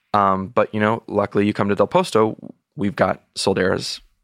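A man with a fairly low voice talks at a moderate pace, with ordinary pitch variation and very even loudness. The recording is very clean, dry and close, with no echo and a silent background. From Texas. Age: 30s. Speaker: sommelier. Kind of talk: interview. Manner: halting with frequent repetitions.

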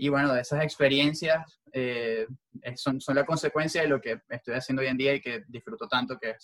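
Speaking in a Venezuelan accent, a man has a medium pitch and a fairly quick pace. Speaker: sports journalist. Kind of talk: interview.

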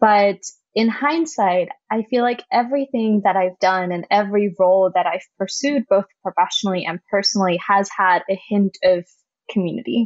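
Using a German accent, a woman speaks at a moderate pace and medium pitch with ordinary pitch variation. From Germany. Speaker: community manager at a startup accelerator. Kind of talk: interview.

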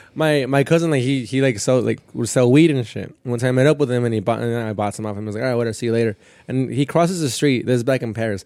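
This man's voice has a dark, mellow tone and a medium pitch, racing along at a very fast pace with hardly any pauses and ordinary pitch variation. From Southern California, partly raised in Mexico. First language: Spanish. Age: 20s. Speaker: stand-up comedian. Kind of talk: casual chat. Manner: fast talker.

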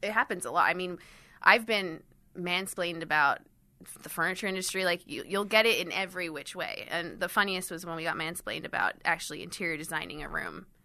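At a very fast pace, a woman with a fairly low pitch speaks in a bright, sharp tone and fairly even intonation. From Switzerland, raised in Miami and London. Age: 20s. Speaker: startup founder and CEO. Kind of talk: interview. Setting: studio.

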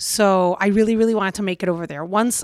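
In a Puerto Rican accent, the speaker uses an animated tone, recorded dry and close with no echo against a very clean, silent background. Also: woman. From Puerto Rico. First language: Spanish. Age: 40s. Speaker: TV reporter. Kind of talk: casual interview chat. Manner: animated, laughs often.

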